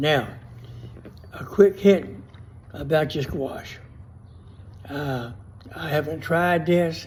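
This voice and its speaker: In a South Louisiana accent, a man speaks very slowly at a fairly high pitch with lively intonation, long and frequent pauses, and big swings in loudness, all with audible room echo. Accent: South Louisiana Southern US. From US South. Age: 80s+. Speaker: gardener. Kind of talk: tutorial. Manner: casual.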